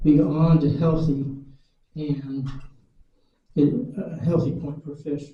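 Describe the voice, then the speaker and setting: A man speaks at a very slow pace, his voice somewhat breathy. His tone is dark and mellow, with fairly even intonation. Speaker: retired fisheries worker. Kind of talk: public lecture presentation. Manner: dry humor.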